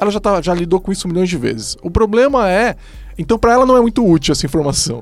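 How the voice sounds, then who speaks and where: A man with a high pitch races along at a very fast pace, his voice making very wide pitch swings. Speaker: podcast host, software consultant. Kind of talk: casual panel discussion.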